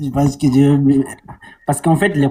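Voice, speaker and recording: Somewhat breathy and dark, mellow in tone, a man with a Senegalese accent speaks at a fairly high pitch. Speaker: caller. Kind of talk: coaching call. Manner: halting.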